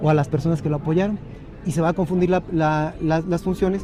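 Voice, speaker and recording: The talking comes very fast. There is noticeable noise behind it. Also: man. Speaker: judge. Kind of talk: interview. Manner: halting.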